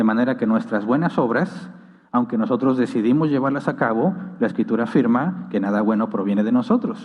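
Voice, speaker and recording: A man with a medium pitch speaks at a fairly quick pace, his intonation lively. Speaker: pastor. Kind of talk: Q&A session in a church teaching. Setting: church with live audience and livestream. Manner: fast.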